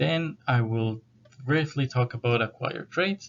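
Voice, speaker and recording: With a South American accent, a man talks at a moderate pace in a medium-pitched voice. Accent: South American accent, noticeable. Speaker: university lecturer. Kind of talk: lecture.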